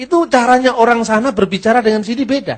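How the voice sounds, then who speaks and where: Talking at a very fast pace, a man speaks with a Javanese accent. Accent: Javanese-accented Indonesian. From Java, Indonesia. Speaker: Bible teacher. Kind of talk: lecture.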